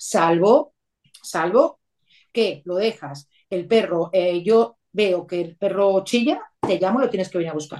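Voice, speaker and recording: Her voice medium in pitch with a dark, mellow tone, a woman speaks at a fairly slow pace with lively intonation. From Venezuela (Caracas). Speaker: rural holiday apartment owner. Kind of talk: interview.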